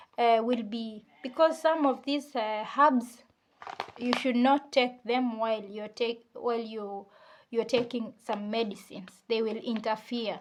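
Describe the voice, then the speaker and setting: A non-native accent at a fairly slow pace, on a very clean recording with a silent background. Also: woman, fairly high pitch for a woman, fairly even intonation. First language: not English. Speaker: beauty vlogger. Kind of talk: tutorial. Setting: at home. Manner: halting.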